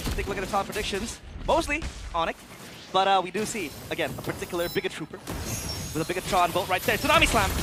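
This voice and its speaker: A man with a high pitch talks at a very fast pace. His pitch varies in an ordinary way, and music plays in the background. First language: not English. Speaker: esports caster. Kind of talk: live commentary. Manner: animated.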